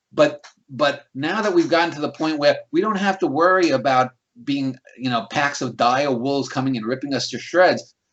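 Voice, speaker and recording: With a slight New York accent, a man speaks at a moderate pace and a fairly high pitch, showing ordinary pitch variation. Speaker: critic and channel host. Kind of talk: casual conversation, interview. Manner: many fillers and repetitions.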